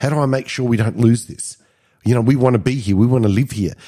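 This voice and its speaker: Speaking with an Australian accent, a man has a dark, mellow tone. The recording is very clean, and the background is silent. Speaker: podcast co-host, business coach. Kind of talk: casual self-help chat.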